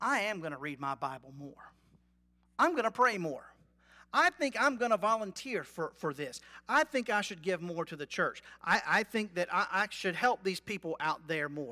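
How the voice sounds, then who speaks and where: On a very clean recording with a silent background, the talking proceeds at a moderate pace. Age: 40s. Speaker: pastor. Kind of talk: sermon. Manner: conversational.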